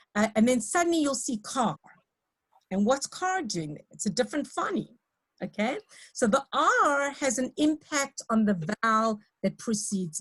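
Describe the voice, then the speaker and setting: Speaking at a fairly slow pace in a South African accent, a woman with a fairly high pitch makes very wide pitch swings, her voice dry and close with no echo. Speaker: lecturer in teacher training. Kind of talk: lecture. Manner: hesitant, many fillers.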